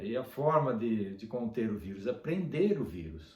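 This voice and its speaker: A man talks at a fairly slow pace, medium in pitch and somewhat breathy. His pitch swings very widely, and the room echo is audible. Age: 60s. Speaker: dentist. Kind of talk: casual video monologue. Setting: at home.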